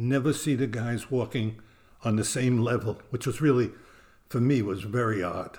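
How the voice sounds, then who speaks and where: With a Brooklyn accent, a man talks in fairly even intonation. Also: medium pitch for a man, moderate pace, very clean recording, silent background. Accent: New York (Brooklyn). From US Northeast (Brooklyn, New York). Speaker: retired world traveler, host's grandfather. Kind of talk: casual interview chat.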